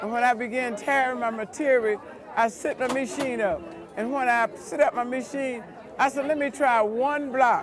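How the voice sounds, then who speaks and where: Over crowd noise in the background, a woman with a high pitch talks at a moderate pace with ordinary pitch variation. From US South, rural Alabama. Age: 70s. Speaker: quilter. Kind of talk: storytelling interview.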